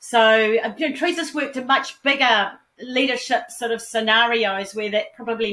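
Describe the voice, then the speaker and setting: Bright and sharp in tone, a woman speaks with a New Zealand accent at a fairly high pitch and with ordinary pitch variation. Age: 50s. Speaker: philanthropist. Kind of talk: interview.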